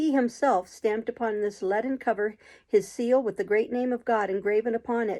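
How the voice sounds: The clip offers a natural reading voice.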